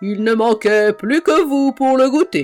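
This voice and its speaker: Faint music plays in the background of a put-on character voice. The voice sounds female, high in pitch, at a fairly slow pace. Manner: menacing, mocking.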